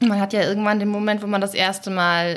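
A woman speaks in an unremarkable speaking voice at a moderate pace. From Schleswig-Holstein, Germany. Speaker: podcast host. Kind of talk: interview.

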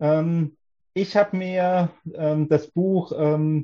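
The man's tone is dark and mellow, with some breathiness. He uses ordinary pitch variation. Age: 30s. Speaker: doctoral student in economics. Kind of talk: casual interview chat.

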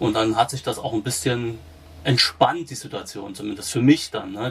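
A man with a medium pitch talks at a moderate pace, sounding somewhat breathy. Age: 40s. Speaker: patient with rare disease, peer supporter. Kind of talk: interview. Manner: halting, many fillers.

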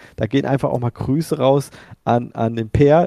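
The sound is dry and close with no echo. A man with a dark, mellow tone speaks at a fairly quick pace. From central Hesse, Germany. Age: 40s. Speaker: sim racing shop owner. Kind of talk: casual podcast interview.

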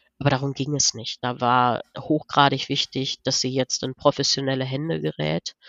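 A woman with a very deep, low pitch and vocal fry talks at a moderate pace with hardly any pauses and ordinary pitch variation. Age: 40s. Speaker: business coach. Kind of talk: interview.

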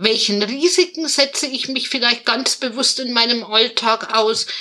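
Her voice is raised and projected at a high pitch. The woman talks at a fairly slow pace. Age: 30s. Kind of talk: interview. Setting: video call.

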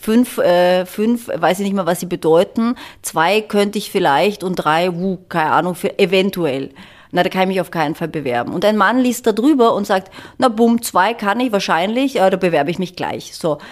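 The recording is very clean with a silent background, and a woman speaks in an unremarkable speaking voice at a moderate pace. Her medium pitch carries lively intonation. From Germany. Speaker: construction company executive. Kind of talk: interview. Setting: Vienna, view of skyline.

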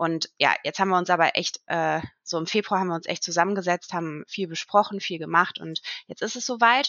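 A woman with an unremarkable speaking voice talks at a fairly low pitch. Her pace is fairly quick, with ordinary pitch variation. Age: 30s. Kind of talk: casual chat.

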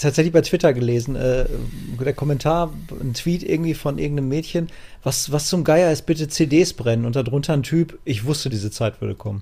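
Talking at a fairly quick pace, a man uses a fairly high pitch with a somewhat breathy, dark, mellow tone. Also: ordinary pitch variation. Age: 30s. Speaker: gaming podcast co-host. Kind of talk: casual chat.

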